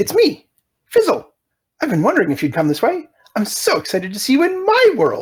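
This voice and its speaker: A put-on character voice, pitched high and moving at a fairly quick pace. Long pauses come often. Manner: excited, eager.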